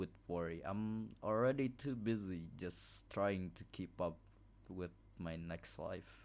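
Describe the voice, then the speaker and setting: With a non-native accent, a man speaks at a very slow pace. His pitch is very deep and low, with ordinary variation. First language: not English. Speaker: gaming video creator. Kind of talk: reading aloud a visual novel with commentary. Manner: halting, many restarts; apologetic.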